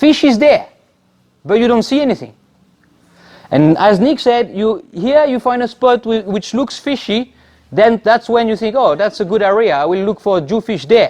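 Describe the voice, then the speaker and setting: Lively intonation in a French accent at a moderate pace. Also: man, high pitch for a man. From France. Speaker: spearfisherman. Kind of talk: club talk. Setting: club meeting.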